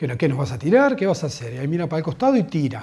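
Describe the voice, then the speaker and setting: Somewhat breathy, a man talks at a very fast pace with lively intonation. The background is quiet. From Argentina, Buenos Aires. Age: 40s. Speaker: football fan. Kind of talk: interview testimony. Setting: at home. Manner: halting. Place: home room.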